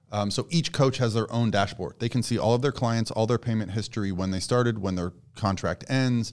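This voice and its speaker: Over a very clean recording with a silent background, a man talks at a fairly quick pace and a medium pitch, with ordinary pitch variation. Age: 40s. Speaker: contest prep coach. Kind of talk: casual chat. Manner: soft-spoken.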